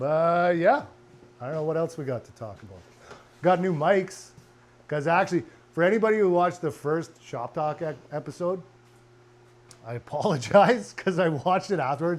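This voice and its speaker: A man with a high voice speaks with lively intonation, big swings in loudness and long, frequent pauses. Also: moderate pace. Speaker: car and motorcycle restoration vlogger. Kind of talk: casual chat. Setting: home garage workshop.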